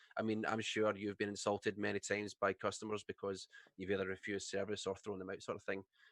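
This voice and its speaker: In a Scottish accent, a man speaks very fast at a fairly low pitch with monotone, flat intonation, and the sound is dry and close with no echo. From Scotland. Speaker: streamer. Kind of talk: casual chat.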